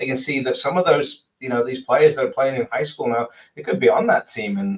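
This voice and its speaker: The speaker has an English accent and moves at a fairly quick pace. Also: man. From England. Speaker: sports podcast co-host. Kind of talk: casual chat. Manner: hesitant, many fillers.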